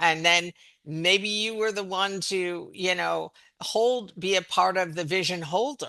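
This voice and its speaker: Against a quiet background, a woman speaks at a fairly slow pace, her fairly low voice bright and sharp in tone. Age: 70s. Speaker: psychedelic therapist and mental health counselor. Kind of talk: podcast conversation. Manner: halting.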